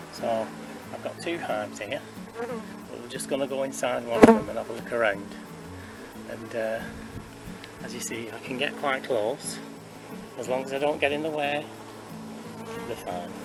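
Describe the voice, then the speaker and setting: Music plays behind a man in a room with audible echo. He keeps a moderate pace, with long, frequent pauses. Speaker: beekeeper and community group volunteer. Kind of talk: tutorial. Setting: outdoors. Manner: soft-spoken.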